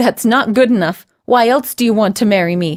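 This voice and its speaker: Putting on a growling character voice, a woman speaks at a moderate pace with a fairly high pitch and ordinary pitch variation. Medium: read story.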